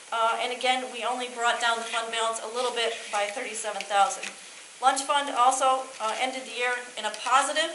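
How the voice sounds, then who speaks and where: Over noticeable background noise and with audible room echo, a woman speaks at a fairly quick pace in a high pitch with fairly even intonation. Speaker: auditor. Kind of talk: financial report presentation. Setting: school board meeting. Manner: fast.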